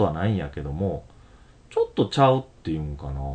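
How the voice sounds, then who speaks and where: A man with a Kansai accent, at a very fast pace. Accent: Kansai Japanese. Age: 30s. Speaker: podcast host. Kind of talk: casual chat. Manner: laughs often.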